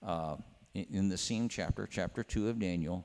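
Here a man speaks at a fairly low pitch, his tone dark and mellow. His pace is fairly slow, with ordinary pitch variation. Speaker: preacher. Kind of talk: sermon. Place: church. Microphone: handheld.

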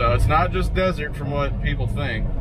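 Loud background noise fills the clip. Over it, a man talks at a moderate pace. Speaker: truck driver vlogger. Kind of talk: casual vlog chat. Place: car. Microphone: camera far.

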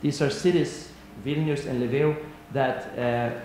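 Over light background noise and audible room echo, a man speaks at a moderate pace. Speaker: panelist. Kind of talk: conference talk. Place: hall. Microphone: podium.

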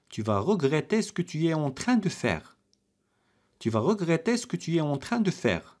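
The speaker leaves long, frequent pauses. The recording is very clean, with a silent background. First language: Arabic (speaking French). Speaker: French language teacher. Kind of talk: tutorial. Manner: slow, repetitive drill phrasing.

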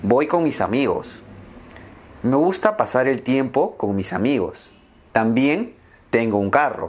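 A man's medium-pitched voice at a very slow pace, with very wide pitch swings and long, frequent pauses. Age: 20s. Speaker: language teacher. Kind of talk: slow scripted speech for learners. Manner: slow, clear. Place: home room. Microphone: lapel.

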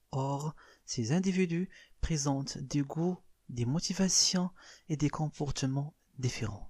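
On a very clean recording with a silent background, a man with a fairly high pitch and a dark, mellow tone sounds somewhat breathy, keeping a moderate pace, ordinary pitch variation and very even loudness. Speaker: marketing teacher. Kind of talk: lecture. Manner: reads French definitions then explains in Darija.

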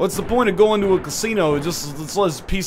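The clip is plain reading aloud. Nothing else is added to the reading.

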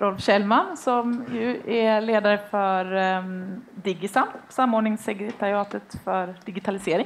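A woman's fairly high voice with ordinary pitch variation at a very slow pace, over light background noise. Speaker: event moderator. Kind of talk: event announcements. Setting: stage with audience. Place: hall. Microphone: handheld.

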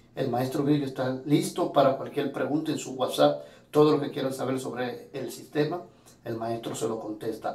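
Echo from the room can be heard. The man's pitch varies in an ordinary way. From Dominican Republic. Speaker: student testimonial giver. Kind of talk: testimonial. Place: home room. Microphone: phone near.

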